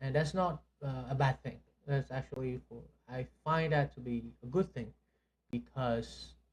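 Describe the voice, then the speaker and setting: Somewhat breathy, a man speaks fairly slowly at a medium pitch with fairly even intonation. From Vietnam. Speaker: podcast co-host. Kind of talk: casual chat. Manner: halting, many fillers.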